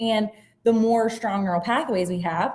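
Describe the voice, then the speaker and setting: A woman with an American accent speaks at a moderate pace and medium pitch, somewhat breathy, with ordinary pitch variation. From southwest Virginia (Giles County). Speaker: special education teacher and neuroeducation coach. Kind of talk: educational presentation. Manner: casual, uses fillers like um.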